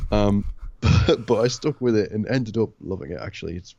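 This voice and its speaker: Vocal fry and ordinary pitch variation in a man's speaking voice. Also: big swings in loudness. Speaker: gaming podcast co-host. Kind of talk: casual chat. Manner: hesitant, many fillers.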